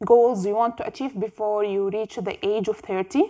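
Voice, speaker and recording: A woman with an Arabic accent speaks in a fairly high voice. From Jordan. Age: 20s. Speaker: book youtuber. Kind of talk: casual vlog monologue.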